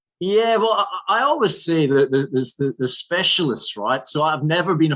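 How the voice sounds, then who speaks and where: This man speaks in a Scottish accent at a moderate pace. His intonation is lively. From Scotland. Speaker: financial services general manager. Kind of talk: podcast interview.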